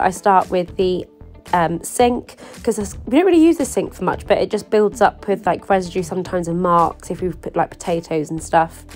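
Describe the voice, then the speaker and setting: The speech comes at a fairly quick pace with hardly any pauses and ordinary pitch variation, while music plays in the background. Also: woman. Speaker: lifestyle YouTuber. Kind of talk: casual voice-over for a cleaning vlog.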